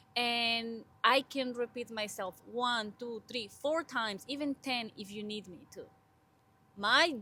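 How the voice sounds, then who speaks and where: A woman with a strong Spanish accent speaks fairly slowly, her fairly high voice bright and sharp in tone, with ordinary pitch variation. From Honduras. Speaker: podcast co-host, graduate student. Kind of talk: casual interview chat.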